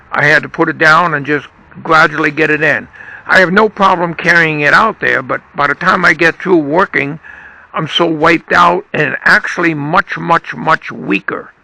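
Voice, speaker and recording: A man with a fairly high voice speaks at a moderate pace, his intonation fairly even. The sound is dry and close with no echo, with noticeable background noise. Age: 80s+. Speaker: vlogger. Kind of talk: casual monologue.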